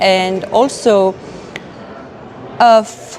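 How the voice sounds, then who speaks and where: A woman's voice with an Arabic accent, amid noticeable background noise and audible room echo. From Lebanon. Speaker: human rights advocate. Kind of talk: interview testimony. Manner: halting, many fillers.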